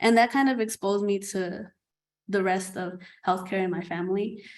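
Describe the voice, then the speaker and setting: A woman with a non-native accent speaks at medium pitch with fairly even intonation. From New York City. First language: not English. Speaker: nursing student. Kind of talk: panel discussion.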